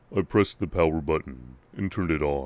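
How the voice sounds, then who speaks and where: A man's put-on character voice, very deep and low, on a very clean recording with a silent background. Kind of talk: creepypasta horror narration. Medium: read story. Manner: mock-serious, casual.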